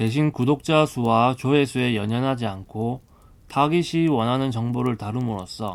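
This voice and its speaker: The speaker has a Busan accent and talks at a fairly slow pace. The pitch varies in an ordinary way. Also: man. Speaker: audiobook narrator. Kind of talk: audiobook reading. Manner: soft-spoken.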